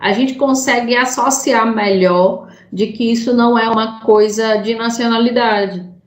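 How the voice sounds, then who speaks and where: A woman speaks at a fairly high pitch, with audible room echo. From Brazil, Sergipe (Aracaju). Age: 20s. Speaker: podcast host. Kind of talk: casual chat.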